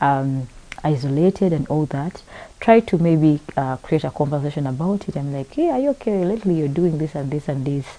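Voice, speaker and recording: Against noticeable background noise, a woman with a very deep, low voice talks at a fairly quick pace. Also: ordinary pitch variation. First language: not English. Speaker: talk show host. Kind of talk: panel discussion. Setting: live broadcast.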